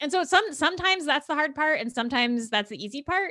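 A woman with an American accent speaks at a very fast pace with lively intonation. The sound is dry and close with no echo, and background noise is noticeable. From New Jersey. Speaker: podcast host and science journalist. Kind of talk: interview.

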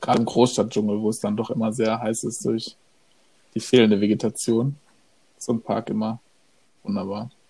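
Speaking fairly quickly but with long, frequent pauses, a man has a dark, mellow tone and monotone, flat intonation. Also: medium pitch for a man. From Germany. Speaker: podcast co-host. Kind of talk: casual chat.

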